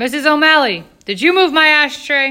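The voice is shouting at a high pitch. The pace is moderate. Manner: yelling.

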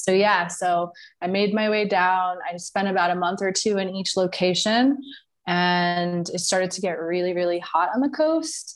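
A woman with an American accent, a normal speaking voice, medium pitch, ordinary pitch variation and a moderate pace against a quiet background. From New York. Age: 30s. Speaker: digital nomad and brand consultant. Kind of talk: casual interview.

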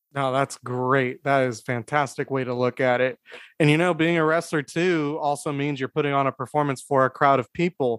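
A man with an American accent speaks in a normal speaking voice at a fairly high pitch, with fairly even intonation and a moderate pace, recorded with a dry, close sound and no echo. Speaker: podcast host. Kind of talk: casual chat. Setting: video call.

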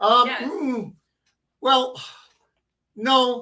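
A man's voice is raised and projected. Its tone is bright and sharp. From New England. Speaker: co-host and YouTuber. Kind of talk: casual chat.

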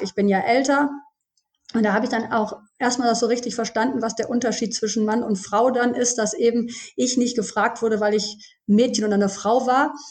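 A woman's normal speaking voice, fairly high in pitch, at a fairly quick pace with fairly even intonation. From Germany, Düsseldorf. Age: 40s. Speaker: pharmacist, former hunter. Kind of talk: podcast interview.

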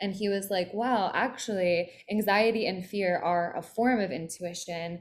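A normal speaking voice with an American accent, moderate in pace, with fairly even intonation. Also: woman, medium pitch for a woman. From Philadelphia, US East Coast. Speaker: spiritual mentor. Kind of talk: interview.

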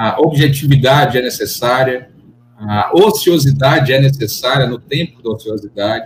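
Somewhat breathy, a man talks at a fairly slow pace and fairly high pitch, with ordinary pitch variation. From Bahia, Brazil (Salvador). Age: 30s. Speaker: lawyer, law firm partner. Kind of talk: casual interview chat.

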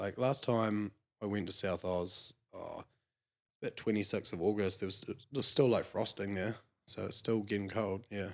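A man with a New Zealand accent speaks at a fairly low pitch with fairly even intonation. The recording is very clean, with a silent background. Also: moderate pace. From New Zealand, Clinton near Clutha. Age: 20s. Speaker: sheep shearer. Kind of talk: casual chat.

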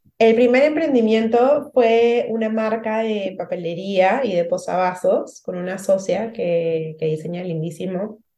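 Her voice has a dark, mellow tone and a fairly high pitch for a woman. She goes at a fairly slow pace with lively intonation and hardly any pauses. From Peru. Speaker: emotional support coach. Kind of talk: interview conversation.

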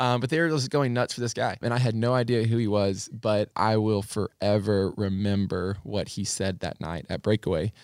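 A man with an unremarkable speaking voice talks at a moderate pace with a fairly low pitch, ordinary pitch variation and hardly any pauses. The sound is dry and close with no echo on a very clean recording with a silent background. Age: 20s. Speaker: church youth director. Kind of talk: casual interview, personal testimony.

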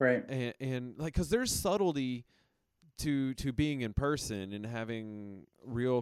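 A man with an unremarkable speaking voice uses medium pitch and lively intonation at a fairly slow pace, in a dry, close sound with no echo. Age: 40s. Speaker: podcast co-host. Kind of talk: casual chat. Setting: video call.

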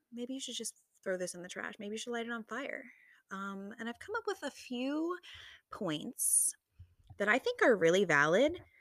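A woman talks at a moderate pace in an animated tone. Her pitch swings very widely. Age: 20s. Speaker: solo podcast host. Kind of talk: casual monologue.

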